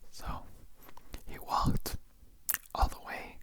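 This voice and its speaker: Whispering in a relaxed tone, a man speaks over noticeable background noise. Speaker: ASMR creator. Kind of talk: scary story reading, ASMR. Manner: casual, relaxed, conversational.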